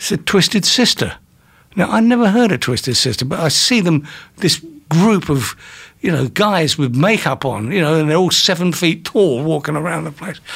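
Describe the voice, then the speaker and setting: Lively in intonation, a man with an English accent speaks at a high pitch. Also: moderate pace. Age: 70s. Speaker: music industry manager. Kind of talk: interview. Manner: storyteller.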